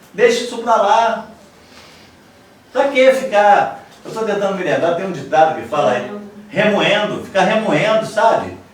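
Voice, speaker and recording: With lively intonation and an animated tone, the speaker talks at a fairly slow pace amid noticeable background noise and audible room echo. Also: man. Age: 60s. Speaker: pastor. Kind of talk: sermon.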